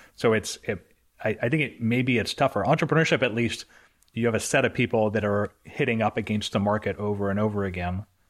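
An ordinary speaking voice, a man's, fairly low-pitched and fairly quick, on a very clean recording with a silent background. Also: ordinary pitch variation. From Canada. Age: 40s. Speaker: entrepreneur and author. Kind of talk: casual interview.

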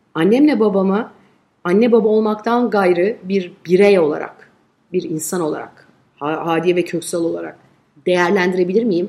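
A woman's dark, mellow, medium-pitched voice at a moderate pace, with ordinary pitch variation. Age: 40s. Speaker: advertising agency head. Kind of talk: interview conversation.

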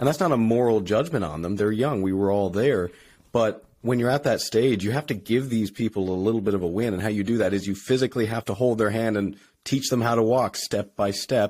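On a very clean recording with a silent background, a man with a plain, everyday voice speaks at a fairly quick pace and fairly low pitch, with ordinary pitch variation. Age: 20s. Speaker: podcast host and engineer, strength athlete. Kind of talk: casual chat.

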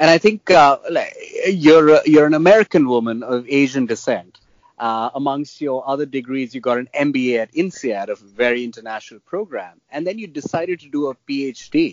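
Lively intonation and big swings in loudness from a man with a fairly high pitch, at a moderate pace. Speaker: podcast host. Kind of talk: interviewing. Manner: halting, filler words.

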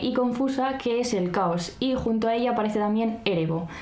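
Noticeable background noise and audible room echo surround a woman's high-pitched voice. She talks at a fairly quick pace with ordinary pitch variation. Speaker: podcast co-host. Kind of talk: casual chat with read-out script passages. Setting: home recording, not a studio.

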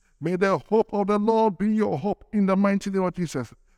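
This man's voice is high in pitch. Its pitch variation is ordinary. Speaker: prayer leader. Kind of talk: fervent prayer. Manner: animated; rhythmic, with a grunted 'uh' ending each phrase.

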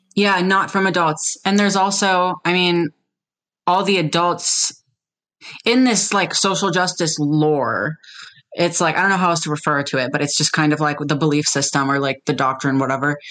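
A woman speaks in a plain, everyday voice at a fairly low pitch, keeping a moderate pace, ordinary pitch variation and very even loudness. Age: 20s. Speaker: detransitioned woman sharing her experience. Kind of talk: casual interview conversation.

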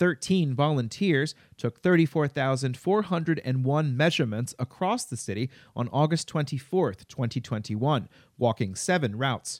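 A man with a plain, everyday voice, fairly high in pitch, lively intonation and a moderate pace, in a dry, close sound with no echo on a very clean recording with a silent background. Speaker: local news podcast host. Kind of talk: news reading.

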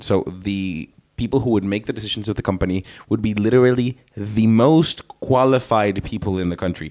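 A man with a Spanish accent talks at a fairly quick pace, his fairly low pitch showing ordinary variation. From Venezuela. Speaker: podcast co-host. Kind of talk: casual chat.

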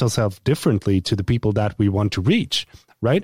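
The speaker has a Swedish accent, and the sound is dry and close with no echo. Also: man. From Sweden. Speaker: YouTuber and content creator. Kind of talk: casual interview. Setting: video call.

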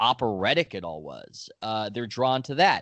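A man talks at a moderate pace in a normal speaking voice. His pitch shows ordinary variation. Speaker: sports reporter and author. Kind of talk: casual interview conversation.

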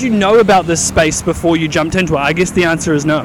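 A man's very fast speech with ordinary pitch variation, over noticeable background noise. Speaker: podcast host. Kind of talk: casual interview while walking. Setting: outdoors walking.

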